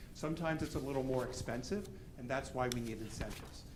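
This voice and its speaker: Fairly quick speech from a man at a medium pitch, ordinary in its pitch variation, with audible room echo. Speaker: historic preservation consultant. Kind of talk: public presentation to a commission. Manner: fast.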